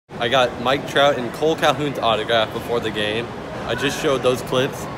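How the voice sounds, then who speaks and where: There is noticeable background noise. The speaker talks at a fairly quick pace. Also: man. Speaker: fan vlogger. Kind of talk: casual vlog chat. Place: stadium. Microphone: phone near.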